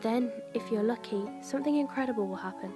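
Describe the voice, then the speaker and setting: Soft-spoken at a moderate pace, a woman talks over music in the background. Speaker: creepypasta narrator. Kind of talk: horror story narration. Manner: quiet, soft-spoken with emphasised words.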